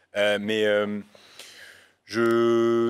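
The background is quiet. A man is speaking. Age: 20s. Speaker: youtuber, news video creator. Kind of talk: casual chat. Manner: halting. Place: studio. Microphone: studio mic.

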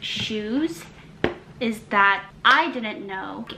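A woman speaks very slowly at a fairly high pitch. Noticeable background noise runs behind her. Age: 20s. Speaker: lifestyle YouTuber and fashion writer; lifestyle YouTuber. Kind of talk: try-on haul review. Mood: cheerful, friendly. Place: home room.

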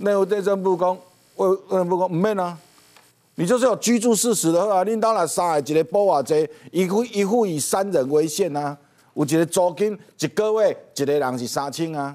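High-pitched yet dark and mellow in tone, a man speaks with ordinary pitch variation. He keeps a moderate pace against a quiet background. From Taiwan. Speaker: talk show guest. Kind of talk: political talk show commentary. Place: studio.

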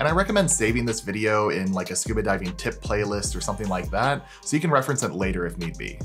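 Clear music plays in the background. A man talks at a very fast pace with hardly any pauses. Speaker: scuba instructor. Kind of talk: tutorial. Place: home room.

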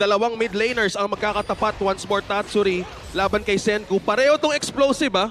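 Over noticeable background noise, a man with a high pitch speaks at a very fast pace, with ordinary pitch variation and very even loudness. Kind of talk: esports live commentary. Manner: excitable, quick play-by-play with banter.

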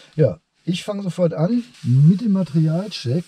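There is no echo on the man's dry-sounding voice. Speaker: car reviewer. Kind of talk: review commentary. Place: car.

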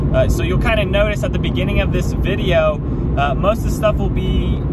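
Loud background noise sits behind a man talking at a fairly quick pace. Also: dry sound with no echo. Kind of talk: casual driving tour commentary. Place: car.

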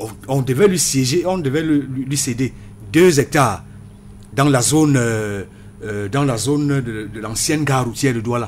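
Light background noise sits behind a man with a normal speaking voice. His pitch is medium, his pace fairly slow, and his pitch variation ordinary. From Cameroon. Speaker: political party communication member. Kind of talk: radio panel debate. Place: studio. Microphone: studio mic.

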